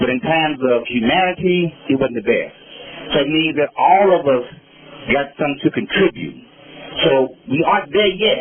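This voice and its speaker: Amid noticeable background noise, a man with an American accent speaks at a moderate pace in a fairly high, lively voice, his loudness very even and his pauses long and frequent. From Los Angeles. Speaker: community elder speaker. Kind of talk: public speech at outdoor event. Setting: outdoor park event. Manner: halting.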